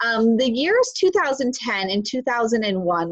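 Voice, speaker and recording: A woman speaks with a fairly high pitch and very wide pitch swings. The sound is dry and close with no echo. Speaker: spiritual teacher livestream host. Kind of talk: live stream talk. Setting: live stream on Zoom and Facebook.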